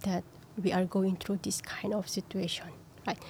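Somewhat breathy, a woman talks at a medium pitch. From Philippines. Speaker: domestic worker and writer. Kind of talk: testimony.

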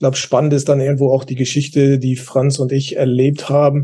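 A man's somewhat breathy voice sits at a medium pitch, with a dark, mellow tone and monotone, flat intonation. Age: 60s. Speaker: youth football and basketball coach educator. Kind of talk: casual expert discussion.

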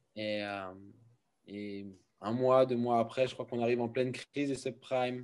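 Here a man speaks in a medium pitch with a dark, mellow tone. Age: 30s. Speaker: founder of a wellness centre. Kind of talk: testimony. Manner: halting.

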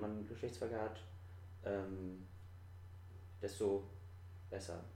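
A man speaking at a fairly slow pace with audible room echo. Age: 20s. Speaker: podcast guest. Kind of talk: casual chat. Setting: apartment recording.

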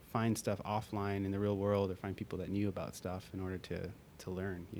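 A man with a normal speaking voice at a moderate pace. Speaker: podcast guest, startup co-founder and CTO.

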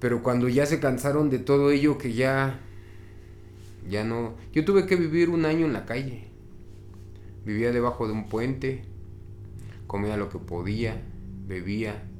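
In a room with audible echo, a man at a medium pitch speaks at a fairly slow pace with lively intonation and long, frequent pauses. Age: 40s. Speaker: recovering addict. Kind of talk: interview testimony.

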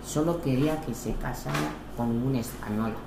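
A woman with an Equatoguinean accent speaks with ordinary pitch variation, with noticeable background noise and audible room echo in the recording. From Equatorial Guinea. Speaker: interviewee, widowed mother. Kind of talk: interview. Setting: at her home.

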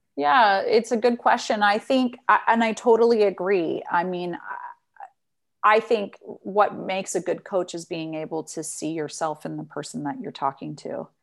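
Speaking with a Western US accent, a woman uses a medium pitch, a moderate pace, lively intonation and big swings in loudness. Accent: General American (Western US). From Utah, US. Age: 40s. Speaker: resilience coach. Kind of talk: casual interview. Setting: video call.

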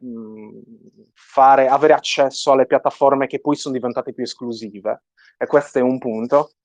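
A man with a strong Sardinian accent, fairly high-pitched, at a moderate pace, in a dry, close sound with no echo. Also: quiet background. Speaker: 3D artist. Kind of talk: interview.

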